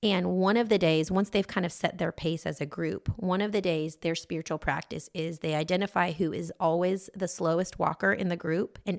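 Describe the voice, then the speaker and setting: A woman speaks at a moderate pace with fairly even intonation and a fairly low pitch marked by vocal fry. The recording is very clean, with a silent background. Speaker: podcast co-host. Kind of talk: casual chat.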